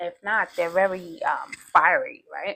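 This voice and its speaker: Her tone is bright and sharp. The woman talks at a fairly slow pace. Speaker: tarot reader. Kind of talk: tarot reading.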